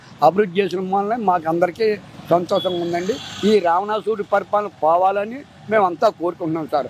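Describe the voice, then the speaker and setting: A high-pitched male voice with ordinary pitch variation and noticeable background noise. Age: old. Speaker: voter. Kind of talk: street interview answer. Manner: emphatic, repetitive.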